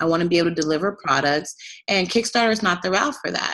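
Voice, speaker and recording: It is a plain, everyday voice. The woman's pitch is medium and moves with ordinary variation. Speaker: fashion entrepreneur. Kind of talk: casual chat.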